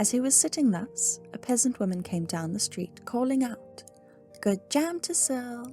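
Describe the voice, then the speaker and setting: Music in the background behind a woman's moderately paced speech. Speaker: ASMR sleep-story reader. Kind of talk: sleep story reading.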